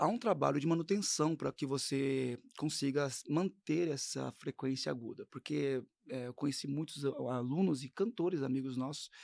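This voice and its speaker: With an unremarkable speaking voice, a man talks at a moderate pace, his pitch fairly high and ordinarily varied, in a dry, close sound with no echo. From São Paulo, Brazil. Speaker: gospel singer and voice teacher. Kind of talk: interview.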